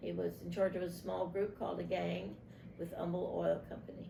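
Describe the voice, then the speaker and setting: Audible room echo surrounds a woman speaking with an East Texas accent. Her pace is moderate. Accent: East Texas Southern US. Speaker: grandmother interviewed for family archive. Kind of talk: oral history interview.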